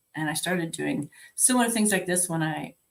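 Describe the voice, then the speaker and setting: The voice has vocal fry and ordinary pitch variation. It moves at a fairly quick pace. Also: woman. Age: 60s. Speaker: life and health coach. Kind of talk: virtual conference talk. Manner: conversational.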